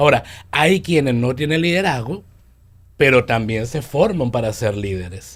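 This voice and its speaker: A man at medium pitch and a fairly slow pace, lively intonation, very clean recording with a silent background. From Venezuela. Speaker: leadership coach. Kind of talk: radio interview.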